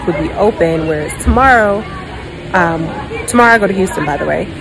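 Crowd noise fills the background as a woman speaks at a fairly quick pace. Her pitch variation is ordinary. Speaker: flight attendant vlogger. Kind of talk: casual vlog chat. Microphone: phone near.

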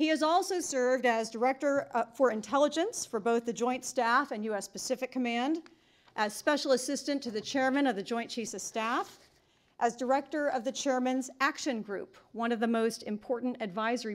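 Over a quiet background, a woman speaks at a moderate pace. Her pitch is high. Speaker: event host introducing speaker. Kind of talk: formal introduction speech. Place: hall.

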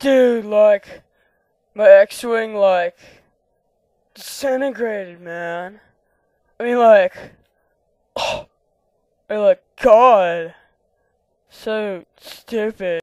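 Drawling in a put-on character voice, a woman speaks very slowly at a medium pitch with long, frequent pauses. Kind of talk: comic overacting. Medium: comedy sketch. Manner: drawling surfer-hippie slang, full of like, man and dude.

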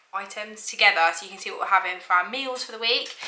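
The speaker is a woman. Her voice carries audible room echo. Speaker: mum vlogger. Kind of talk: casual vlog chat. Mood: cheerful, chatty. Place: kitchen. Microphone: camera far.

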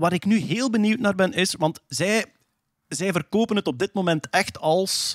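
A man speaks at a fairly slow pace. The sound is dry with no echo, against a quiet background. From Flanders, Belgium. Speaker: podcast host presenting science news. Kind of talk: casual chat.

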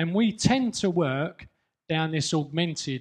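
With a slightly mellow tone and ordinary pitch variation, a man speaks at a slow pace.

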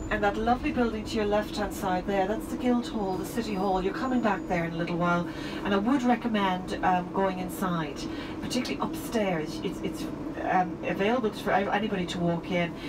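Amid loud background noise, a woman speaks at a fairly quick pace. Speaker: tour guide. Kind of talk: tour commentary. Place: bus.

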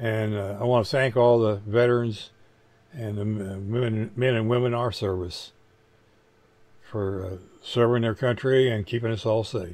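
At a fairly slow pace, a man talks with fairly low pitch, a slightly mellow tone and fairly even intonation.

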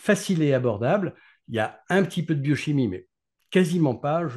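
Somewhat breathy and fairly high in pitch, a man speaks with lively intonation at a moderate pace against a quiet background. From France, Grenoble (Alps); France. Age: 40s. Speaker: neurologist; guest. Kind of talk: interview. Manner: halting. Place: home room. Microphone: video call.

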